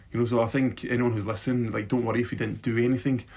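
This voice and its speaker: At a very fast pace, a man speaks at medium pitch with vocal fry. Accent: Scottish. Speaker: beatboxer and youth worker. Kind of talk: casual interview chat. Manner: animated, jokey.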